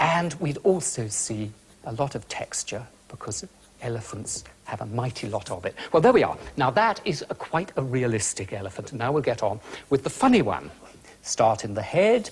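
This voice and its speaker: With a British accent, a man's voice sweeps through very wide pitch swings. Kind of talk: instructional art demonstration on a children's TV show. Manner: calm, gentle, friendly.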